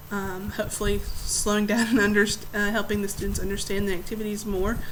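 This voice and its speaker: In a room with audible echo and noticeable background noise, a woman speaks fairly quickly at a medium pitch in a monotone, flat way. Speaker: student teacher. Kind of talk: recorded class presentation. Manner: fast; halting, many fillers.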